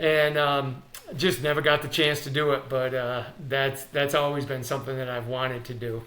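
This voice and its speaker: A man talks at a fairly high pitch in a monotone, flat delivery. The room echo is audible, and there is noticeable background noise. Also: moderate pace. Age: 60s. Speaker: sports performance coach. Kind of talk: interview. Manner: halting, many fillers.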